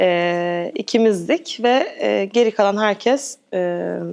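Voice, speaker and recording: Her pace is very slow, and her intonation is lively. The woman speaks at a medium pitch. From England, London. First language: English (speaking Turkish). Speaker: actress. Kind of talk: interview. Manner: hesitant with filler sounds.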